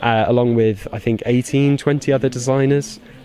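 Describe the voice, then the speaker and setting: Speaking very fast with a British accent, a man holds a medium pitch and fairly even intonation over noticeable background noise. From UK. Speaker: toy designer. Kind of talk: interview.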